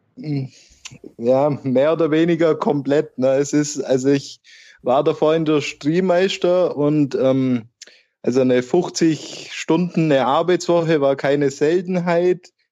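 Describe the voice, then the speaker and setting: A man with a Swabian accent and a dark, mellow tone of fairly high pitch speaks at a very slow pace against a quiet background. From Nördlingen, Bavaria on the Württemberg border. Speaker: football fan, wheelchair user, early retiree. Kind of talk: casual chat.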